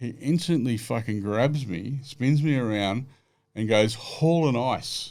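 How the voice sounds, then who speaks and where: A man speaks with a strong Australian accent at a fairly slow pace. His pitch is medium, with ordinary variation. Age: 60s. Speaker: live music producer and former racing driver. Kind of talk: casual chat. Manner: animated.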